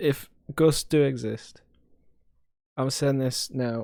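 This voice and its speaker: On a very clean recording with a silent background, a man with a Sunderland accent speaks at a medium pitch in a monotone, flat intonation. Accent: Sunderland (Mackem). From northern England, Sunderland. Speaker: podcast co-host. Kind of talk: casual chat.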